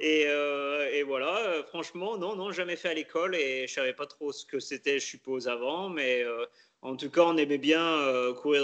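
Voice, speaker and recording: Fairly high in pitch with a bright, sharp tone, a man speaks at a fairly slow pace with ordinary pitch variation. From France, Loire (Pilat, near Saint-Étienne). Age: 30s. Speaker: elite orienteering athlete. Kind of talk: interview. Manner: halting.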